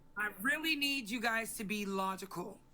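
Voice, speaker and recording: Speaking fairly slowly, a woman lets her pitch rise and fall in an ordinary way. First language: not English. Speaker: livestream host. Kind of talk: heated debate. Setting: livestream. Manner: loud.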